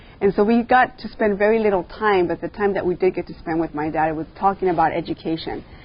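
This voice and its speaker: Speaking very fast with a Californian accent, a woman at medium pitch barely pauses, her pitch varying in an ordinary way. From Los Angeles, San Fernando Valley (Pacoima). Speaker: school board member. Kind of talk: interview. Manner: hesitant, many fillers.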